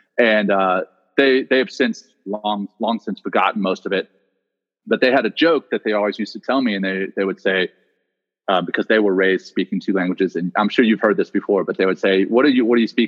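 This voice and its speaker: Fairly quick, fairly low-pitched male speech with an American accent, ordinary pitch variation and an unremarkable speaking voice. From US South, Louisiana. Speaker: former Navy SEAL commander and meditation teacher. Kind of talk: interview conversation.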